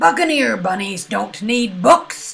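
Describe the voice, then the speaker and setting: A female-sounding voice in a put-on character voice speaks at a fairly high pitch and a fairly slow pace, with very wide pitch swings. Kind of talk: pirate talk. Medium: read story. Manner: blustering, bossy.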